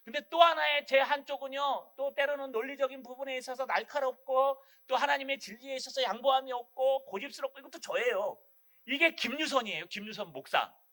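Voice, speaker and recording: A man talks at a fairly quick pace in a strong Gyeongsang accent, with an extremely high pitch and a bright, sharp tone. His raised, projected voice is animated, with big swings in loudness. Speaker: pastor. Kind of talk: sermon. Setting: church.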